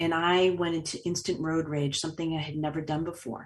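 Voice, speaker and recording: At a fairly quick pace, a woman with an American accent talks in a plain, everyday voice that sits fairly low in pitch. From Boston, US Northeast. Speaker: author and speaker, trauma survivor. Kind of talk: interview testimony.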